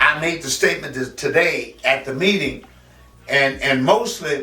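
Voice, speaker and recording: A man talks at a moderate pace with lively intonation and fairly high pitch. Audible room echo and noticeable background noise surround him. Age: 70s. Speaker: community figure and poet. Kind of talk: interview testimony. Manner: halting, repetitive.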